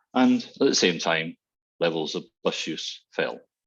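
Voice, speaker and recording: Against a quiet background, a man talks with a Glasgow accent. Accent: Scottish (Glasgow). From Scotland, Glasgow. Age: 60s. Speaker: transport consultant. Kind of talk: webinar presentation. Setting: online webinar.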